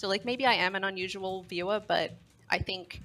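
At a fairly quick pace, a woman speaks in a bright, sharp tone with ordinary pitch variation. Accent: Australian. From Australia. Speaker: caller, longtime viewer. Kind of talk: casual chat.

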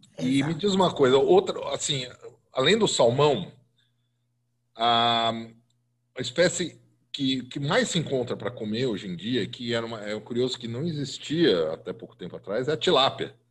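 Speaking at medium pitch in a São Paulo accent, a man uses lively intonation and long, frequent pauses on a very clean recording with a silent background. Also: moderate pace, big swings in loudness. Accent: Paulistano Brazilian Portuguese. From Brazil, São Paulo. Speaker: food podcast host and columnist. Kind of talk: casual interview.

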